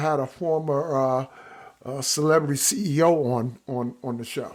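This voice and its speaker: Man with a Brooklyn accent. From Brooklyn, New York. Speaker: podcast host. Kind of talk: podcast interview intro.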